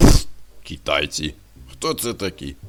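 A man performs a cartoonish character voice. His pitch is very deep and low, and his pace is fairly slow.

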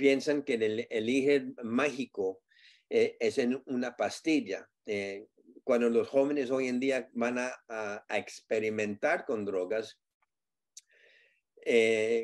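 A man at a very slow pace, fairly even intonation, quiet background. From US, Southern California. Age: 60s. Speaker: community advocate on drug addiction; guest. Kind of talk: interview. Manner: halting with fillers and repetitions. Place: home room. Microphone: video call.

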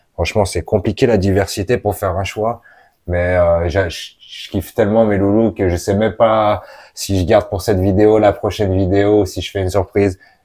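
The tone is dark and mellow, delivered in a flat monotone at a moderate pace. The background is quiet. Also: man, fairly low pitch for a man. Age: 30s. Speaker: reptile keeper and YouTuber; reptile keeper youtuber. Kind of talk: casual vlog. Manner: hesitant, many fillers.

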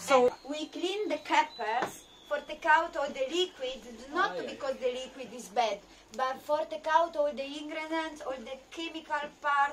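The speech moves at a moderate pace with ordinary pitch variation and big swings in loudness. Noticeable background noise runs underneath. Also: woman. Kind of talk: casual cooking tutorial. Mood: relaxed, friendly. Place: boat. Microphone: phone near.

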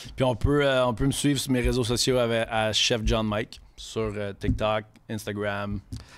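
His voice is fairly low for a man. He talks at a fairly slow pace. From Quebec City, Quebec; Quebec. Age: 30s. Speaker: chef; podcast guest. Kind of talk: casual chat. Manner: animated. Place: studio. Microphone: studio mic.

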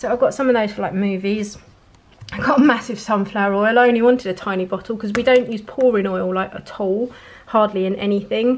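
A woman talks at a fairly quick pace with medium pitch. Her intonation stays fairly even.

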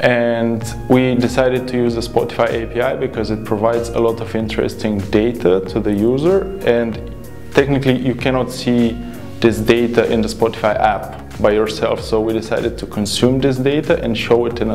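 Faint music plays in the background. Over it, a man talks at a moderate pace. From Bulgaria. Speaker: software developer. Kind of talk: interview answer. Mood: friendly, upbeat. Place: studio. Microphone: lapel.

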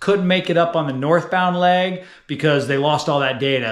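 A man speaks at a moderate pace with ordinary pitch variation. His tone is fairly bright.

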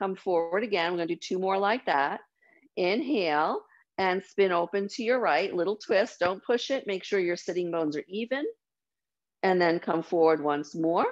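A woman's voice moves at a moderate pace with ordinary pitch variation, set against a quiet background. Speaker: yoga teacher. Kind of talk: guided meditation. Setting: video call. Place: home room. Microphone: video call.

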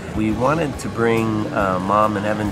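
Music plays in the background while a man speaks at a fairly slow pace. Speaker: family vlogger father. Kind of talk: casual vlog chat. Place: station. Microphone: phone near.

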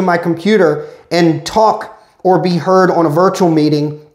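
The quiet background carries audible room echo. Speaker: tech product reviewer. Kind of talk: product review walkthrough. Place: office. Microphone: phone near.

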